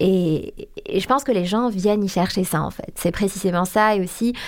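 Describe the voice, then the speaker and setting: A woman with an unremarkable speaking voice of medium pitch talks at a moderate pace. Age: 20s. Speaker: Instagram account founder. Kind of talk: interview testimony.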